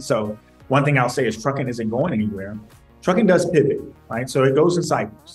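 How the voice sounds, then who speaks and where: Music sits faintly in the background. A man talks over it. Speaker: remote guest. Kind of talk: interview answer. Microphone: video call.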